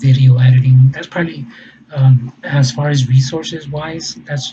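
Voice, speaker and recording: A man at medium pitch with a Spanish accent, moderate pace and flat, monotone intonation. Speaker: fundraiser vlogger. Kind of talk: personal explanation monologue. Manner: halting, many fillers and repetitions.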